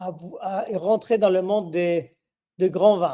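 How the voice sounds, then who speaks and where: A man speaks in a high voice with a dark, mellow tone. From Spain. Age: 60s. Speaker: winemaker. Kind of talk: interview. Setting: virtual tasting event. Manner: halting.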